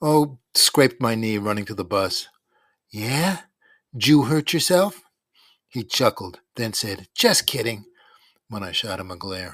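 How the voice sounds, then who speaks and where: A man speaks in an animated, deadpan tone at a fairly slow pace with long, frequent pauses. The sound is dry and close with no echo, and the recording is very clean with a silent background. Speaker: podcast novel narrator. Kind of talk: audiobook narration. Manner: first-person nostalgic storyteller, wry and animated, shifting to deadpan comic asides.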